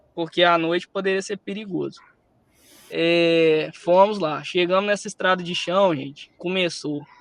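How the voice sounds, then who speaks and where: With a slight Minas Gerais accent, a man with a high voice speaks at a fairly slow pace. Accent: slight Minas Gerais (mineiro). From Espírito Santo, Brazil. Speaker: musician and speaker. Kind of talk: storytelling talk. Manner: animated.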